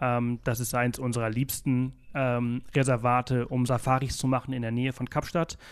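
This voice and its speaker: Over a quiet background, the speaker talks at a moderate pace in a monotone, flat intonation with hardly any pauses. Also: man, medium pitch for a man. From Mallorca, Spain. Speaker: travel blogger and podcaster, South Africa expert. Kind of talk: interview. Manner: many filler sounds (äh, ähm).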